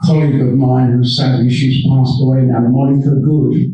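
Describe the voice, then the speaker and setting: A man's somewhat breathy voice with a dark, mellow tone and monotone, flat intonation, in audible room echo. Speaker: retired police officer, guest speaker. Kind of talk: public talk. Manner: halting.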